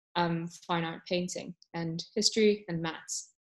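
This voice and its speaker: At a moderate pace, a woman speaks in an ordinary speaking voice, fairly low in pitch with fairly even intonation, over a quiet background. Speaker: podcast co-host. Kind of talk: casual chat. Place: home room. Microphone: video call.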